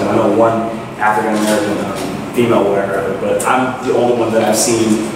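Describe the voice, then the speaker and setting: Over noticeable background noise and strong room echo, a man talks very fast in a monotone, flat delivery. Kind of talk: interview answer. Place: home room. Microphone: camera far.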